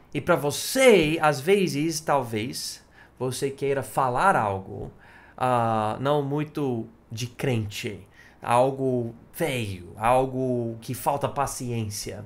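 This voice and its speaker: Audible room echo surrounds a man speaking at a very slow pace. His pitch is medium, with ordinary variation. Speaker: pastor. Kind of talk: sermon. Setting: church.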